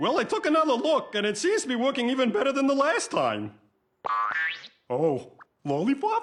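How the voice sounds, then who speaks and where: A high-pitched, cartoonish character voice over background sound effects and faint music. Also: moderate pace. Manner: friendly, easygoing.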